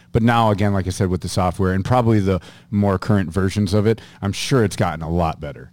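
A man with an American accent, fairly low pitch and ordinary pitch variation, at a very fast pace on a very clean recording with a silent background. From US Upper Midwest, Minneapolis suburbs. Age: 40s. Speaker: hunter and YouTuber, radio ad voice. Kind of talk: casual chat. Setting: studio.

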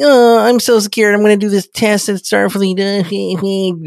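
Putting on a whiny character voice, a man talks at a fairly slow pace with a high pitch. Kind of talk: exaggerated, mocking imitation. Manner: whining, mocking.

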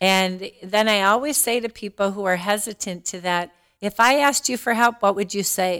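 A woman with a normal speaking voice talks at a moderate pace and a medium pitch. Her pitch varies in an ordinary way, and she hardly pauses. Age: 60s. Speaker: diversity and inclusion director. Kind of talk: casual interview.

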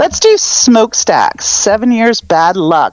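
Noticeable noise runs underneath the recording. The woman's pitch rises and falls across a very wide range. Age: 50s. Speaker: pop punk music fan. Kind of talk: casual chat.

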